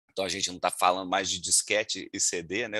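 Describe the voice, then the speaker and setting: A man's very deep, low voice with a bright, sharp tone and a fairly quick pace, in a dry, close sound with no echo and a quiet background. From Minas Gerais, Brazil (Juiz de Fora). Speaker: lawyer and data protection instructor. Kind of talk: webinar talk. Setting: video call. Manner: hesitant, many fillers.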